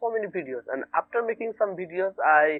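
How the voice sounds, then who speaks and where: At a moderate pace, a man speaks, his pitch shifting in an ordinary way. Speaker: English learner. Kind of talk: casual conversation practice. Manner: halting.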